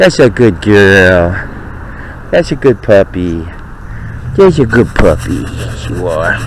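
Over light background noise, a man speaks very slowly with long, frequent pauses and very wide pitch swings, the sound dry with no echo. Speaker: dog owner. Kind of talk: casual talk while playing with dog. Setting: outdoors, body-worn pen camera mic. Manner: whispering or normal talking. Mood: playful, affectionate. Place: garden. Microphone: phone near.

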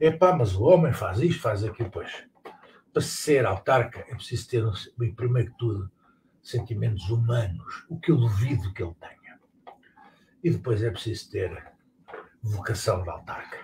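Amid noticeable background noise, a man speaks at medium pitch and a moderate pace, somewhat breathy, with lively intonation, big swings in loudness, and long, frequent pauses. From Portugal. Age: 60s. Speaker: political commentator. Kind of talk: casual monologue; casual live-stream political chat. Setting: live stream on exercise bike. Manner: hesitant, repeats words. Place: home room. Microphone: webcam.

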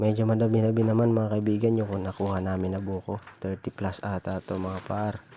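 Monotone, flat intonation marks this man's fairly low-pitched voice. His pace is fairly quick. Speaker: vlogger. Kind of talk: casual vlog narration.

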